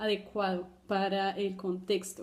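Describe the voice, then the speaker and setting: A woman with a Colombian accent speaks at a fairly slow pace. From Brazil. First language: Portuguese (speaking Spanish). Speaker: doctoral student. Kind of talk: personal testimony for a class video. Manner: halting, many fillers.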